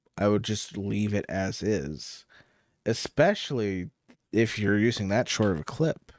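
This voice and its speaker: At a fairly slow pace and with ordinary pitch variation, the voice comes through on a very clean recording with a silent background. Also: man, fairly low pitch for a man. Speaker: streamer reacting to videos. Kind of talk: live stream reaction commentary. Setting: live stream.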